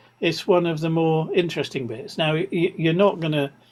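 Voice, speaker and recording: A man talks with an English accent. His pitch is high for a man. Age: 70s. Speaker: amateur radio presenter. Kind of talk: online presentation. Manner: halting, many repetitions.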